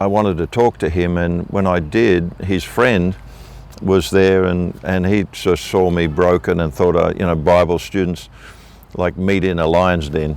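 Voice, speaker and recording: A man with an Australian accent, very deep and low in pitch, fairly even in intonation and fairly slow in pace. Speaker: minister, revival evangelist. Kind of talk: interview answer.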